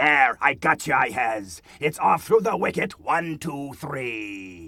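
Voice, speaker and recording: A put-on character voice from a man, fairly high in pitch and fairly slow in pace. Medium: video game. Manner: ungrammatical, gleeful.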